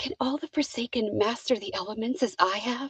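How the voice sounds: A woman's put-on character voice, breathy and whispering, at a fairly quick pace.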